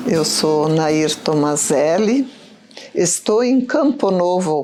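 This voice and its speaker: With music in the background, a woman speaks very slowly at a medium pitch, her voice swinging very widely in pitch. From southern Brazil (Rio Grande do Sul, Erechim; then Santa Catarina). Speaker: pioneer resident, widow. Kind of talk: documentary interview testimony.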